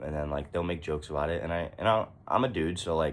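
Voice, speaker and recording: Very deep and low, a man's voice carries vocal fry. He talks at a very fast pace. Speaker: vlogger. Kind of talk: personal confessional vlog. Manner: hesitant, many fillers.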